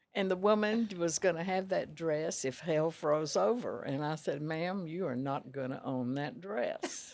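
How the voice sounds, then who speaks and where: This woman has a Texan accent and a fairly low pitch. She talks at a fairly slow pace with lively intonation and hardly any pauses. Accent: Texan Southern US. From Texas, small town Rosebud. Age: 90s. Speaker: retired dress shop owner. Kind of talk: interview.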